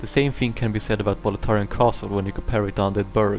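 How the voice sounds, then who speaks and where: Fairly even intonation in a non-native accent, with music in the background. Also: man. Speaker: video game analyst. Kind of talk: video essay narration. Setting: cheap home microphone.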